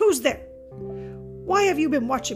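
Over clear background music, a high-pitched, raspy put-on character voice comes through with a hissing sound. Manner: suspicious, wary.

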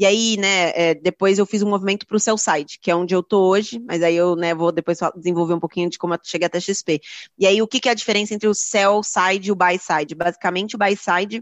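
Speaking at a very fast pace with hardly any pauses, a woman keeps her medium-pitched voice in fairly even intonation. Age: 30s. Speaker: equity research analyst. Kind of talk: interview.

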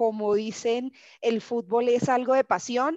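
With a normal speaking voice, a woman talks at a fairly slow pace and fairly high pitch, her intonation fairly even, in a dry, close sound with no echo and a quiet background. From Colombia, Barranquilla. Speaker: sports marketing manager. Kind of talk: interview.

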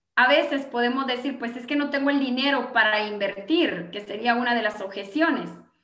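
Her pitch is high with ordinary variation, and this woman talks at a fairly quick pace with hardly any pauses. Room echo is audible. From Guatemala (Gualán, Zacapa). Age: 40s. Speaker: network marketing entrepreneur. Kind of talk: interview with sales pitch.

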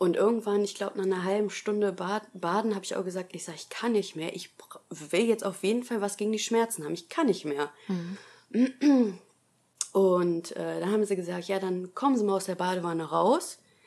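A woman speaks at a medium pitch with ordinary pitch variation. It is a plain, everyday voice, delivered at a moderate pace. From Germany, Essen (Ruhr area). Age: 20s. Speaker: nurse and new mother sharing birth experience. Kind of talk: personal testimony in interview.

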